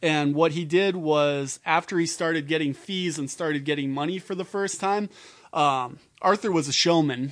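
With an Upper Midwest accent, the speaker talks at a moderate pace against a quiet background. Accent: Upper Midwest American. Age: 30s. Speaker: political organizer and technician. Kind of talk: casual chat.

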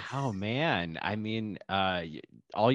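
A man with a normal speaking voice, fairly low pitch and lively intonation, against a quiet background. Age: 30s. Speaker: podcast host. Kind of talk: casual chat.

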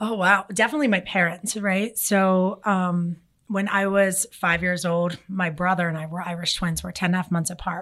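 Speaking with an American accent in a plain, everyday voice, a woman keeps a medium pitch, fairly even intonation and a moderate pace with hardly any pauses. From Philadelphia, US. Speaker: marketing agency CEO. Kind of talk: interview. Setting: studio.

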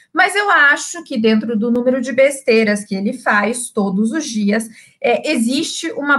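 This woman talks at a fairly slow pace in a high voice with lively intonation. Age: 30s. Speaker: journalist turned business owner and political commentator. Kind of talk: live-streamed political panel chat. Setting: live stream.

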